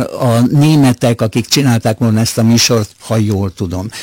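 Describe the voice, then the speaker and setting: A man at medium pitch, with a dark, mellow tone and a moderate pace, in a dry, close sound with no echo. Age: 80s+. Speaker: retired radio music editor. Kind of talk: radio interview. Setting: radio studio. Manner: halting, with fillers.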